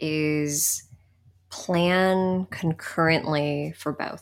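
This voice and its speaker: In a very clean recording with a silent background, a woman speaks very slowly at a fairly low pitch with ordinary pitch variation. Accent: American. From California, San Jose area. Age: 30s. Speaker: international development worker. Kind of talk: casual chat.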